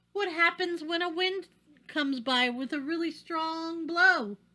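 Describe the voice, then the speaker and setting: A woman puts on a squeaky character voice at an extremely high pitch, speaking at a fairly slow pace. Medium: read story. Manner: careful, earnest.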